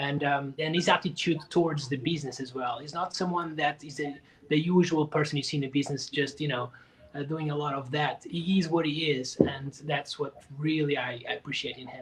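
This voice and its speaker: Amid noticeable background noise, a man speaks at a fairly quick pace and fairly high pitch, his intonation fairly even and his loudness swinging widely. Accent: Portuguese. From Portugal. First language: Portuguese. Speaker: drummer and percussionist. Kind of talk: interview.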